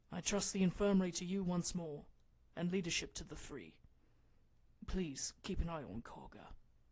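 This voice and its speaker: A female-sounding put-on character voice at a middle pitch moves at a moderate pace, broken by long, frequent pauses. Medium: read story. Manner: calm, measured.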